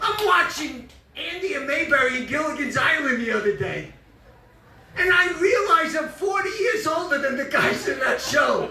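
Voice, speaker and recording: A man with a New York accent speaks in a raised, projected voice at an extremely high pitch for a man, at a moderate pace. Noticeable background noise and audible room echo come through. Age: 70s. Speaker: comedian. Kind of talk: stand-up.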